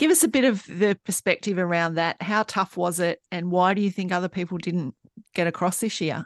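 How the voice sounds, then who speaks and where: A woman with a medium pitch and an unremarkable speaking voice speaks at a fairly quick pace with ordinary pitch variation, in a dry, close sound with no echo over a quiet background. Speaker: podcast host. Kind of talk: casual interview chat.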